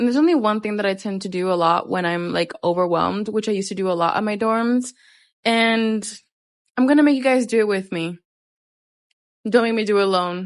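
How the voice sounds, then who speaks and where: Over a quiet background, a woman with a medium pitch and ordinary pitch variation talks at a fairly quick pace, broken by long, frequent pauses. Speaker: vlogger. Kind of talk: casual vlog monologue.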